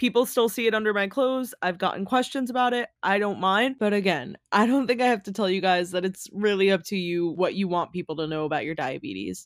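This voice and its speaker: A normal speaking voice from a woman, medium in pitch, fairly quick with hardly any pauses and lively intonation, on a very clean recording with a silent background. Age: 20s. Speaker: podcast co-host, type one diabetic. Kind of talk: casual chat.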